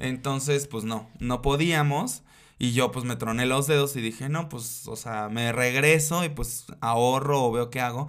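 Speaking at a fairly slow pace, a man with an ordinary speaking voice keeps a medium pitch and fairly even intonation. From Mexico, Acapulco, Guerrero. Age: 30s. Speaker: drag queen and performer. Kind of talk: casual interview.

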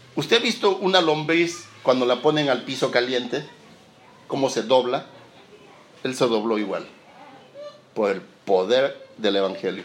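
A man talks at a fairly slow pace with long, frequent pauses and lively intonation, with audible room echo and noticeable background noise. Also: medium pitch for a man. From Peru, Lima. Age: 40s. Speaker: pastor. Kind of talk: sermon. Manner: halting, repeats words.

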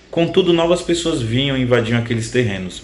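The room echo is audible as a man speaks fairly quickly. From Brazil, Itapecerica da Serra, São Paulo state. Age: 30s. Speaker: writer. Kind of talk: reading aloud from own novel.

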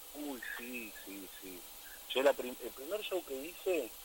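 Lively intonation marks a man speaking at a fairly slow pace over noticeable background noise. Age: 40s. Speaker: musician. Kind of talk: interview.

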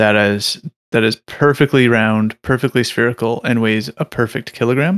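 In a very clean recording with a silent background and a dry, close sound with no echo, a man speaks in an unremarkable speaking voice at a medium pitch with fairly even intonation. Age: 30s. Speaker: podcast co-host. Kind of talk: casual debate.

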